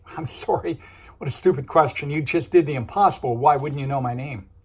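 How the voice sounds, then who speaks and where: A man's put-on character voice, hoarse, raspy and wheezy, fairly high in pitch, at a fairly quick pace with big swings in loudness. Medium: read story.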